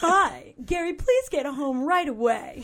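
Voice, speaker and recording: A strained, female-sounding put-on character voice at a high pitch and a fairly slow pace. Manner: mocking, sweetly strained while angry.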